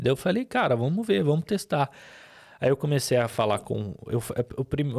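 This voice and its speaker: Over a very clean recording with a silent background and a dry, close sound with no echo, a man with an Arabic accent speaks fairly quickly at medium pitch with lively intonation. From Lebanon. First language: Arabic (speaking Portuguese). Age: 30s. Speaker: businessman and podcast host. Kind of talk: testimony. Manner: halting.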